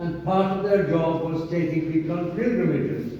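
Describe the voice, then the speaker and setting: A man speaks at a high pitch and a fairly slow pace with fairly even intonation. Audible room echo and noticeable background noise are present. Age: old. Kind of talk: introductory talk to a group.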